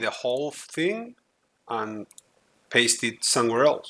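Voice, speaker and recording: Speaking at a fairly slow pace with a non-native accent, the voice swings very widely in pitch. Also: man. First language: not English. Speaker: gaming tutorial youtuber. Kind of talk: tutorial. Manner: halting, frequent fillers.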